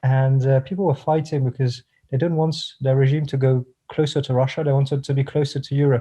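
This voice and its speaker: Against a quiet background, a man speaks in a fairly high pitch with monotone, flat intonation and a somewhat breathy voice. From France. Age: 20s. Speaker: political professional. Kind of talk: interview.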